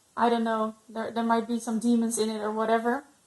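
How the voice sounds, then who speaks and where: A woman speaks with a non-native accent. Her voice is fairly high-pitched. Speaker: ex-Jehovah's Witness vlogger. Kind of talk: personal testimony vlog. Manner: halting, many fillers.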